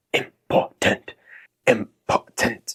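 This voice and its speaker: A man puts on a raspy character voice. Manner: mocking, exaggerated.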